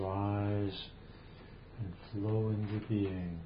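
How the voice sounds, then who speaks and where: A man's calm, soothing voice at a fairly low pitch, with fairly even intonation, a very slow pace and noticeable background noise. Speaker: meditation teacher. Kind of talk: guided meditation. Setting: video call. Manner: slow, calm, soothing with long pauses; gentle, invitational.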